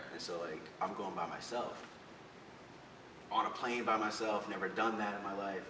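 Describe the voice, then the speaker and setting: Moderate pace with an American accent, fairly even intonation, long and frequent pauses, audible room echo and noticeable background noise. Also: man, fairly low pitch for a man. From Florida. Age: 20s. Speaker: social media comedian. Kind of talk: interview. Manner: casual, filler-heavy.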